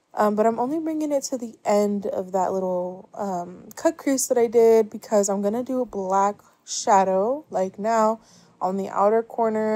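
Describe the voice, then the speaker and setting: In a very clean recording with a silent background, a woman speaks at a moderate pace and medium pitch, her tone dark and mellow, with ordinary pitch variation. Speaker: makeup youtuber. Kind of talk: makeup tutorial. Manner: slurring words; casual, filler-heavy.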